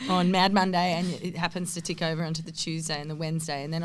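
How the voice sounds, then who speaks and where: This woman talks very fast with an Australian accent. Her pitch is fairly low and her intonation fairly even. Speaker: AFLW footballer and podcast co-host. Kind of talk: casual chat.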